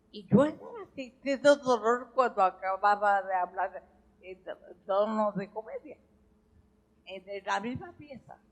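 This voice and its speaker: The voice moves at a very slow pace with long, frequent pauses and big swings in loudness. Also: woman, fairly high pitch for a woman, ordinary pitch variation. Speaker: veteran stage and screen actress. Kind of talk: public interview with audience.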